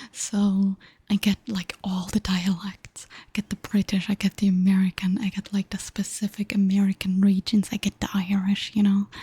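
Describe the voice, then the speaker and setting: At a moderate pace and medium pitch, a woman speaks with hardly any pauses, a somewhat breathy, dark, mellow tone, big swings in loudness and monotone, flat intonation, in a dry, close sound with no echo. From Germany. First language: German. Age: 20s. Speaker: streamer. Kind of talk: casual chat.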